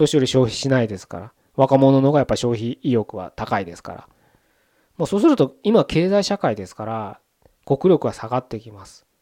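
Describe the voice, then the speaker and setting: A man with a dark, mellow tone and medium pitch talks at a fairly quick pace, his pitch swinging very widely and his loudness shifting a lot. The sound is dry and close with no echo, in a very clean recording with a silent background. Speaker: podcast host. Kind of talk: solo monologue podcast. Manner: casual, conversational.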